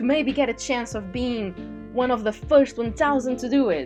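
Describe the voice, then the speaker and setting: Music plays behind a woman with a high pitch. She talks at a moderate pace with lively intonation. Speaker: digital artist. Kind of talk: casual voiceover rant over speedpaint.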